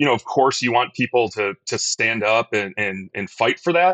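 A man talks at medium pitch with a bright, sharp tone. The sound is dry and close, with no echo. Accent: American. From Detroit. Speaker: hockey league vice-president. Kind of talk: interview.

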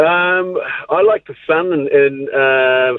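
This is a man speaking. He talks with a New Zealand accent. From New Zealand, Northland. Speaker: former rugby league player. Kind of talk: radio interview. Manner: halting, many fillers and repetitions.

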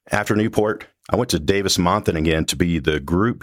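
Recorded very clean with a silent background, a man with a very deep, low pitch and vocal fry speaks at a moderate pace with ordinary pitch variation. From Mississippi. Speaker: retired military pilot, defense industry. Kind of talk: interview.

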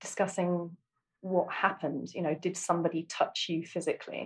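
The speaker has an Essex accent and a somewhat breathy voice at a moderate pace. The recording is very clean, with a silent background. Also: woman. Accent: southern English (Essex). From Essex, England. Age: 40s. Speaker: single mother, therapy podcast guest. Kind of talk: therapy session. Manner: halting, many fillers.

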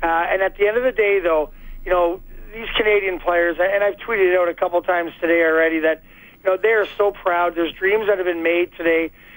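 Here a man talks at a high pitch and a fairly quick pace. His intonation is fairly even. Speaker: former Olympic hockey player. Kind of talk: radio interview. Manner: halting.

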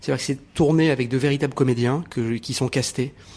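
Here a man talks at a medium pitch with ordinary pitch variation. His tone is dark and mellow. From Morocco. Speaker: TV journalist, writer and actor. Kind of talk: interview.

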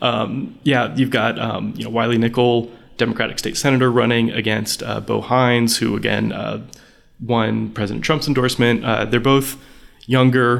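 Vocal fry marks a man's medium-pitched voice, delivered at a moderate pace with monotone, flat intonation. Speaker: political journalist. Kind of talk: interview.

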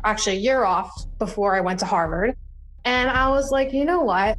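With audible room echo, a woman in an American accent speaks with ordinary pitch variation. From US Northeast, New Jersey Shore. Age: 30s. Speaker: civil rights activist and nonprofit founder. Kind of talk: interview.

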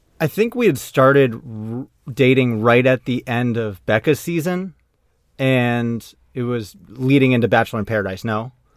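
An American man with an ordinary speaking voice talks at a moderate pace in a medium pitch, with ordinary pitch variation. The recording is very clean, with a silent background. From Maine, US. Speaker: former pro baseball player, digital media worker. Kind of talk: casual chat.

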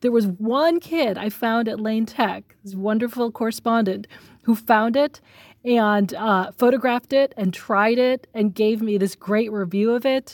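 An ordinary speaking voice with an American accent moves at a fairly slow pace, with ordinary pitch variation. The recording is very clean, with a silent background and a dry, close sound with no echo. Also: woman, fairly high pitch for a woman. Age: 40s. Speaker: journalist. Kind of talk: interview.

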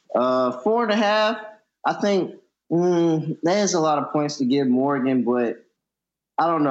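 Lively intonation carries this fairly slow delivery against a quiet background. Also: man. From US South, Norfolk, Virginia (Tidewater). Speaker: college basketball analyst. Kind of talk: casual chat.

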